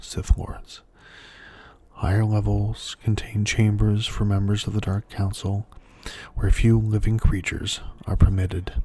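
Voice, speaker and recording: A man speaks at a fairly slow pace in a fairly low, dark, mellow voice. His delivery is somewhat breathy and monotone, with flat intonation. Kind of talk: ASMR lore reading. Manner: soft-spoken.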